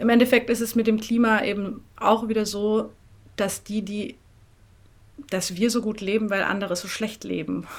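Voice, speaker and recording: A woman with a slight southern German accent speaks at medium pitch and a moderate pace. Her intonation stays flat and monotone. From Swabia, southern Germany (near Tübingen/Böblingen). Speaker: NGO coordinator. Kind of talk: interview.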